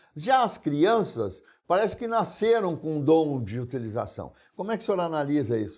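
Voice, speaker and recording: A man with a high pitch speaks at a moderate pace, his pitch swinging very widely. The recording is very clean, with a silent background. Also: big swings in loudness. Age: 70s. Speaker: TV interview host. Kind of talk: interview.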